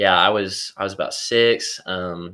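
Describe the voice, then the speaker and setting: In a very clean recording with a silent background, a man with a Southern accent speaks in a very deep, low pitch with a bright, sharp tone. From East Tennessee, Kingsport. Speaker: college student. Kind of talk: testimony. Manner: halting.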